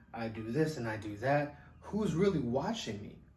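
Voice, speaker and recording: Music plays behind a man speaking at a medium pitch, with audible room echo. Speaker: movie reviewer. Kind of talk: casual monologue review. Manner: fast; stammering, repetitive.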